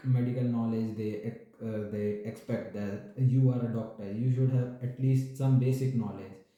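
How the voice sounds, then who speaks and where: Monotone, flat intonation comes through with audible room echo. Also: man. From India, New Delhi. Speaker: doctor. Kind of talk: interview. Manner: hesitant with fillers. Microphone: network problem.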